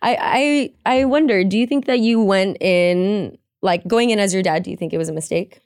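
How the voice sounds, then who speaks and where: Here is a woman with an unremarkable speaking voice at medium pitch. Her intonation is lively. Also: moderate pace. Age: 20s. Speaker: podcast co-host. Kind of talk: casual chat; scripted outro.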